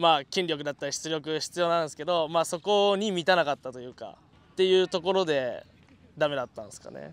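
With a normal speaking voice, this speaker moves at a fairly quick pace, showing ordinary pitch variation and big swings in loudness. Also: man, fairly high pitch for a man. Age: 20s. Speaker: former independent-league baseball player. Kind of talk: group interview.

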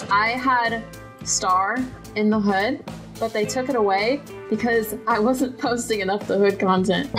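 Clear music in the background under a woman with a fairly high pitch and ordinary pitch variation. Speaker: gaming streamer. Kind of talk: casual gameplay chat. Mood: playful, teasing. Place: home room.

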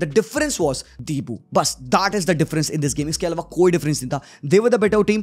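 A man talks at a very fast pace. His pitch is high, with ordinary variation. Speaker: football YouTuber. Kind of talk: match reaction and analysis.

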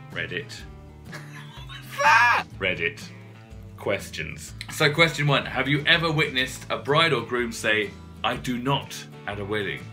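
Music plays behind a man with a British accent. He speaks fairly slowly, with long, frequent pauses. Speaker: presenter, voice over artist. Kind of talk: casual talk to camera.

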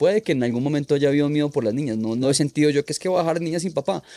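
A man with a fairly high pitch and a dark, mellow tone uses ordinary pitch variation, the sound dry with no echo. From Colombia, Manizales; Colombia. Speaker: freestyle motocross rider; podcast guest. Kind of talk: casual interview chat. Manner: halting, repetitive. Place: studio. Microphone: studio mic.

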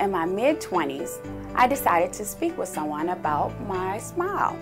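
A woman speaks at a moderate pace while clear music plays in the background. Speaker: dental patient. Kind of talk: patient testimonial. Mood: calm, pleased. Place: studio.

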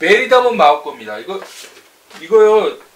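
A man at a moderate pace, with audible room echo. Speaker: product reviewer, channel host. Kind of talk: casual product review. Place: office.

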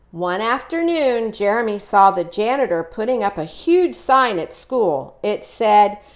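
Natural voice, reading a passage

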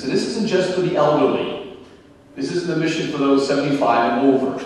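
A man talks at a fast pace in a slightly mellow tone, with strong echo from the room.

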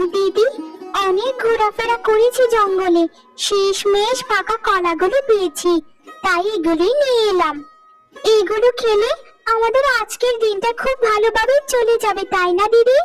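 A woman does a cartoonish character voice at an extremely high pitch, speaking at a moderate pace with very even loudness over faint background music. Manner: earnest, encouraging.

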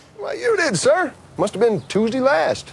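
Put-on character voice from a man, extremely high-pitched and drawling, at a moderate pace. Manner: folksy, drawling.

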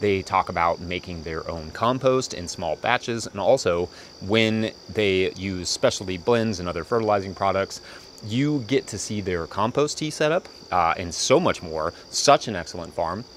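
A man with an unremarkable speaking voice talks at a moderate pace and fairly low pitch with lively intonation, in a dry sound with no echo and light background noise. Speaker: farmer video host. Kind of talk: channel intro and sponsor read. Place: farm machine. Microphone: lapel.

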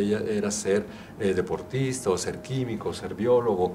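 A man talks with fairly even intonation. Light background noise sits behind him. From Mexico, Guanajuato. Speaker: artisan fair exhibitor, vocational advisor. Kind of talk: interview. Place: studio. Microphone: handheld.

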